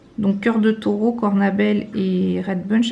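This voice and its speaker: A woman speaks at a medium pitch. Her voice has a dark, mellow tone and is somewhat breathy. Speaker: lifestyle vlogger. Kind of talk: casual vlog. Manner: hesitant, many fillers.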